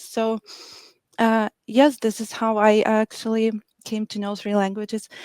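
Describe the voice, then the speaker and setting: A woman with a Ukrainian accent and a fairly high pitch speaks at a moderate pace, the sound dry and close with no echo. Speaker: medical interpreter. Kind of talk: live show interview.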